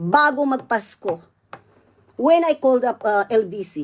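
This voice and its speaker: A woman's fairly high-pitched voice with a Visayan accent. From Visayas, Philippines. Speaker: vlogger. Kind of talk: angry rant. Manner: loud, combative.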